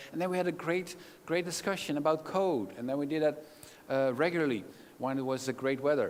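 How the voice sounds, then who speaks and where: With audible room echo, a man with a Dutch accent speaks at a fairly high pitch and a fairly quick pace. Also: ordinary pitch variation. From Netherlands. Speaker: keynote speaker. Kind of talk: conference talk. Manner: animated.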